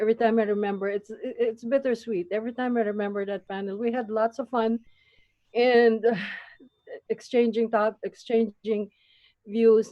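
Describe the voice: At a moderate pace, a woman speaks in a fairly high pitch with fairly even intonation.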